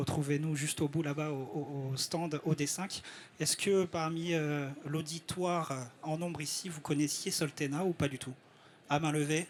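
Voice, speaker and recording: Speaking at a fairly slow pace, a man uses a fairly high pitch and fairly even intonation. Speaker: network coordinator presenting at a trade summit. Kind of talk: live presentation to an audience. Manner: halting, frequent hesitations.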